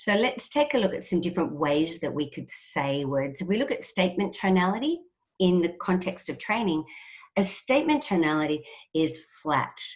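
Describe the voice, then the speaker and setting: A woman's medium-pitched voice in an Australian accent, at a moderate pace with very wide pitch swings. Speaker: trainer. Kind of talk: webinar presentation.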